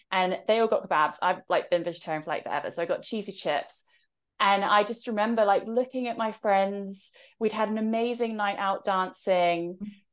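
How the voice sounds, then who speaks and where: A woman with an English accent at a fairly quick pace, ordinary pitch variation, and a quiet background. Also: medium pitch for a woman. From England. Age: 30s. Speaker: author and spiritual mentor. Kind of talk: casual interview chat.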